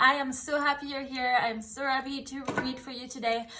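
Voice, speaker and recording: A raised, projected voice with an animated, bright, sharp tone rings out against audible room echo. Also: woman. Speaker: tarot reader. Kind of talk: tarot reading.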